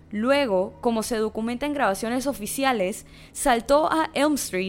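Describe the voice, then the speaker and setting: A woman with an ordinary speaking voice talks at a moderate pace in a fairly high pitch with ordinary pitch variation. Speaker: podcast narrator. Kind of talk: dramatic narration of a true-crime story, read in a serious, storytelling tone. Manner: solemn, measured, suspenseful pacing; steady, formal, even delivery.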